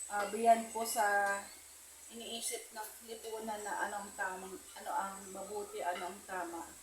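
A woman with a medium pitch speaks fairly slowly in a monotone, flat intonation. Audible room echo and noticeable background noise surround her voice. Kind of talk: spoken prayer. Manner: halting, many fillers.

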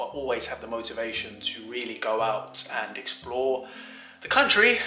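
A man talks at a moderate pace with audible room echo and faint music in the background. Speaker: vlogger husband. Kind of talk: casual vlog chat. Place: home room. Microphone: phone near.

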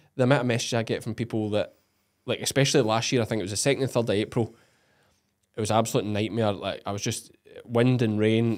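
With a Scottish accent, a man speaks at a very fast pace. The background is quiet. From Scotland. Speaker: podcast host and sheep farmer; podcast host. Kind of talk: casual interview. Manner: animated. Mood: jokey, animated. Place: studio. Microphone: studio mic.

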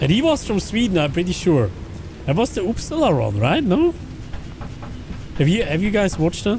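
A Swiss accent with very wide pitch swings, a fairly quick pace and long, frequent pauses, over faint background music. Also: man, high pitch for a man. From German-speaking Switzerland. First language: Swiss German. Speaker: video game streamer. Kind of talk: live gaming stream chat. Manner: animated.

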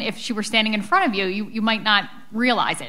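Speaking very fast, a woman with an American accent has a bright, sharp tone and fairly high pitch. Her intonation is lively, and the background is quiet. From Philadelphia, US. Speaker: author; author on panel. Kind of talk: book talk. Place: hall. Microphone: podium.

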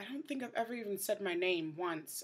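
A quiet woman with an American accent talks with ordinary pitch variation. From New York City, the Bronx. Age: 20s. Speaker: vlogger. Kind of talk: casual video diary. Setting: indoors at night, host family's house. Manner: hushed, trying to keep quiet. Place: home room. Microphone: webcam.

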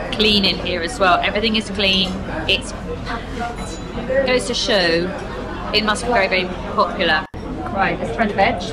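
Crowd noise plays behind a woman who speaks at a moderate pace with long, frequent pauses. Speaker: travel food vlogger. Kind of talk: casual vlog chat. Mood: cheerful, appreciative. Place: cafe. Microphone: phone near.

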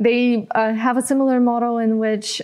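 A woman with a Bulgarian accent speaks at a high pitch and a fairly slow pace. The background is quiet. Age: 20s. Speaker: social entrepreneur; guest. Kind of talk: interview. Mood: warm, smiling, relaxed. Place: studio. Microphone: lapel.

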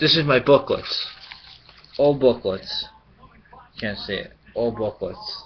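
Long, frequent pauses break up the man's very slow speech. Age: 30s. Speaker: sports card collector vlogger. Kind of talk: vlog rant. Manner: rambling. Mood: frustrated, venting. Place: home room. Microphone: webcam.

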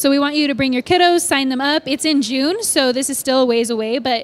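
A woman speaks at a fairly quick pace. Her pitch is high. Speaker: church staff announcer. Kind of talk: church announcements chat. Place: church.

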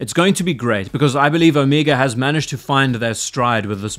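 A man talks with ordinary pitch variation at a fairly quick pace, and the background is quiet. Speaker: watch reviewer. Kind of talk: commentary. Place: home room. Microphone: studio mic.

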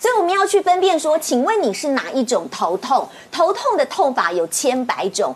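High-pitched woman's voice at a moderate pace, with very wide pitch swings and hardly any pauses. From Taiwan. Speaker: TV health show host. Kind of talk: TV talk show hosting. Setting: TV studio. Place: studio.

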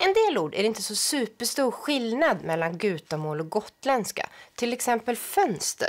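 A woman talks with hardly any pauses, her pitch swinging very widely. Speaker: language researcher. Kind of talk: educational explanation. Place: studio. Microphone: lapel.

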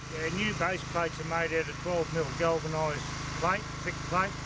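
A man's voice, dry with no echo, amid loud background noise. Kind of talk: interview answer. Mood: relaxed, matter-of-fact. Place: forest. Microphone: phone near.

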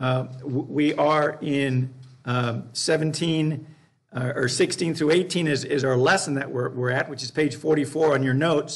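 Pitch moves in an ordinary way as this male voice talks over near silence. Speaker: Bible class teacher. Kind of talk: lecture. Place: classroom.

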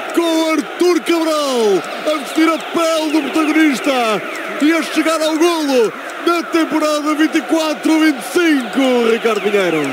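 A man shouts in an extremely high voice with a theatrical, dramatic tone, moving at a very slow pace with very even loudness, the sound dry with no echo while noticeable background noise carries on behind him. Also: ordinary pitch variation. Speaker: radio commentator. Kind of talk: live football commentary, radio. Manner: theatrical, dramatic, poetic exclamations; explosive, loud goal shouts. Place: stadium.

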